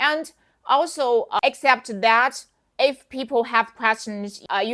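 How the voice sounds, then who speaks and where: A woman with a Chinese accent speaks at a fairly slow pace in a bright, sharp tone. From China. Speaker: wig seller and sales coach. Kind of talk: tutorial. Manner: animated; halting.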